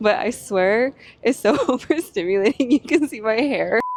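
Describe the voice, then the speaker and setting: Against noticeable background noise, a woman speaks with lively intonation in a dry, close sound with no echo. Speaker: lifestyle vlogger. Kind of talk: casual chat. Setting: outdoors.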